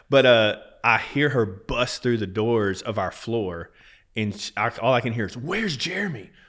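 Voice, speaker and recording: With lively intonation and a normal speaking voice, a man speaks at a moderate pace and medium pitch on a very clean recording with a silent background. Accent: American. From Texas. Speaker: business owner in oil and gas. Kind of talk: casual interview conversation.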